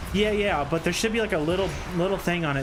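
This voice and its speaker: A man races along at a very fast pace. Music plays in the background, and there is audible room echo. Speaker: gaming streamer. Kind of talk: casual live stream chat. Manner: stuttering, halting; filler-heavy, many likes and ums.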